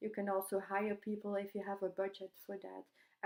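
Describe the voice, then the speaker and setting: Against a quiet background, a woman of medium pitch speaks with a non-native accent in a monotone, flat intonation. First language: not English. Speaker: youtuber reviewing online course. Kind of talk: product review vlog. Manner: halting, many fillers. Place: home room. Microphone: webcam.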